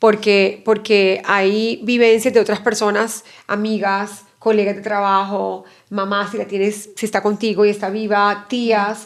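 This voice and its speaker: A woman's flat, monotone voice at a fairly slow pace. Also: medium pitch for a woman. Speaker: pediatric neuropsychologist. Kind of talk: interview.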